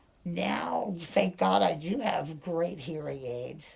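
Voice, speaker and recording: In an American accent, a woman with a very deep, low pitch talks at a fairly slow pace, her pitch swinging very widely amid audible room echo. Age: 60s. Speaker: interviewee sharing hearing loss experience. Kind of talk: casual interview, personal anecdotes.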